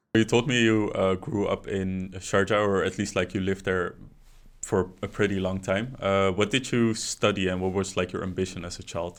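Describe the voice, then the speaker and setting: A man's normal speaking voice, fairly low in pitch, with fairly even intonation at a moderate pace over a quiet background. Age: 20s. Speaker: podcast host. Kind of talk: casual interview chat.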